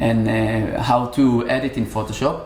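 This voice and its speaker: A man with an Israeli accent speaks in a monotone, flat intonation, with audible room echo and noticeable background noise. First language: Hebrew. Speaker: musician. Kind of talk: casual interview. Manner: halting.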